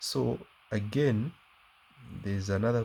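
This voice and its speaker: A man's dark, mellow, somewhat breathy tone. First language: not English. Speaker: math teacher. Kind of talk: tutorial. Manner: halting, many fillers.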